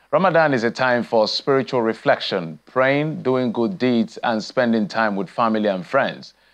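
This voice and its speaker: A man talks at a moderate pace, his pitch varying in an ordinary way, while music plays behind him. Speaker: news anchor. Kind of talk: news reading. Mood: calm, festive greeting. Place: studio. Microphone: lapel.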